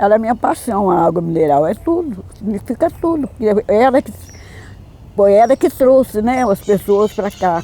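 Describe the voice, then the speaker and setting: At a moderate pace, a woman talks in a fairly high voice that swings very widely in pitch. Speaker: local resident interviewee. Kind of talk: documentary interview.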